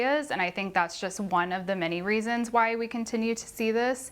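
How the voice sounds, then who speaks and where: A plain, everyday voice from a woman, medium in pitch, moderate in pace, with ordinary pitch variation. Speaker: university researcher. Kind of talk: interview answer.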